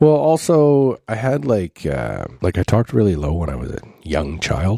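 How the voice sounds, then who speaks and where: A man with a Canadian accent speaks at a moderate pace, his raspy voice fairly low with a dark, mellow tone and very wide pitch swings. The sound is dry and close, with no echo. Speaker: podcast host. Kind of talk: casual chat.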